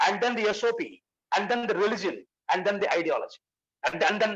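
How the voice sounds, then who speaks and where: This man's voice is high-pitched. He races along at a very fast pace. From India. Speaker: senior police officer, keynote speaker. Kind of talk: keynote lecture. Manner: halting, with self-repetitions.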